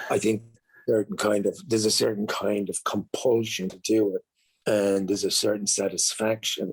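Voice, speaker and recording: A man's fairly low-pitched voice at a fairly slow pace. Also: dry, close sound with no echo. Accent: Irish. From Ireland. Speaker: actor and author. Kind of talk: interview answer. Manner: reflective, hesitant.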